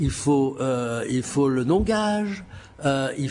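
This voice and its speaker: A man speaks in a room with audible echo and noticeable background noise. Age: 70s. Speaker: auctioneer. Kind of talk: lecture. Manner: halting.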